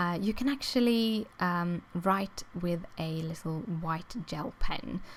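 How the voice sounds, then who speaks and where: Someone with a non-native accent and a somewhat breathy voice speaks at a very slow pace with hardly any pauses and ordinary pitch variation. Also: woman, fairly low pitch for a woman. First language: not English. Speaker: crafting youtuber. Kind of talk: tutorial. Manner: halting, many fillers.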